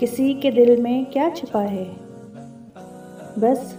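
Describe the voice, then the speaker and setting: Music plays in the background as a woman talks in a high voice. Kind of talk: poetry reading.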